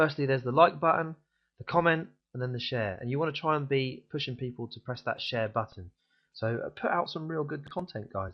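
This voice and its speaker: At a fairly quick pace, a man talks at a fairly high pitch. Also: ordinary pitch variation. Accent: British. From UK. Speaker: online marketing vlogger. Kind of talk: tutorial. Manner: fast; casual, frequent fillers.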